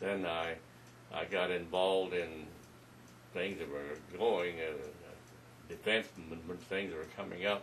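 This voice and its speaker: A man with an American accent and a very deep, low pitch speaks at a fairly slow pace, using fairly even intonation and long, frequent pauses. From United States. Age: 80s+. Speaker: retired airline pilot and war veteran. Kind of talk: interview answer, reminiscing. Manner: hesitant, conversational.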